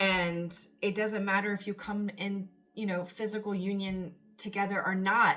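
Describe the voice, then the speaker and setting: An animated woman's voice at medium pitch, with noticeable background noise. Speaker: tarot reader. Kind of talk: tarot reading.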